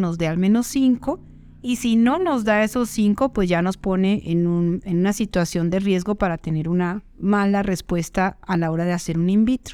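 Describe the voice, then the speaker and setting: Over a silent background on a very clean recording, a woman with a dark, mellow tone speaks at a moderate pace with ordinary pitch variation. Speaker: fertility doctor. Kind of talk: educational monologue. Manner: conversational.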